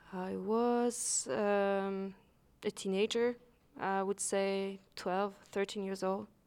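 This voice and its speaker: On a very clean recording with a silent background, a woman speaks at a very slow pace in a medium pitch and a monotone, flat intonation. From Switzerland, Lausanne. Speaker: photographer and photography teacher. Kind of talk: interview. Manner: halting, many fillers.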